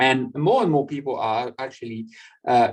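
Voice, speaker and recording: A man with a French accent at a moderate pace. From France. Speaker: European party representative, speaker. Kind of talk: online public lecture. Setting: online video conference. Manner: halting, many fillers and repetitions.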